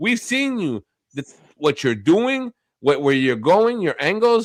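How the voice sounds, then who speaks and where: A man with a non-native accent speaks at a moderate pace in an angry tone, his pitch swinging very widely. The recording is very clean, with a silent background. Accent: has an accent, immigrant. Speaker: live streamer. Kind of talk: heated argument on a stream; casual chat. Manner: angry and loud.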